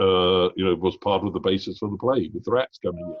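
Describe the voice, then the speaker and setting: With a British accent, a man speaks at a fairly low pitch. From Britain. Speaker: business school executive and interviewer. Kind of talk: interview conversation. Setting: video call.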